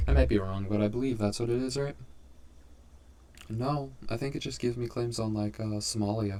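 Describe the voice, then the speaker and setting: Quiet, mumbled speech with a dark, mellow tone and lively intonation comes at a fairly quick pace. Long pauses break it up often. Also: man, fairly low pitch for a man. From England. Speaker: gaming YouTuber. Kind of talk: gameplay commentary. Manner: quiet and mumbly; hesitant, many fillers.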